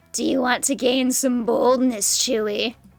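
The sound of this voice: Doing a raspy, put-on character voice at a high pitch, a woman talks at a moderate pace over faint music in the background.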